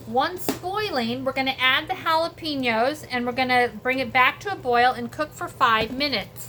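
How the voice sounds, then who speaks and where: The voice is raised and projected, with ordinary pitch variation. It moves at a moderate pace. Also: woman, high pitch for a woman. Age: 60s. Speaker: home cooking vlogger. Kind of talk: casual cooking tutorial. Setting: home kitchen. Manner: animated.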